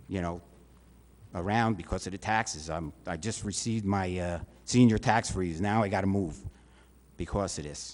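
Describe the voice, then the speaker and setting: A man's very deep, low voice with ordinary pitch variation at a moderate pace. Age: 60s. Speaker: resident speaking at public comment. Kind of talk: public comment at council meeting. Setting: council meeting chamber. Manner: halting.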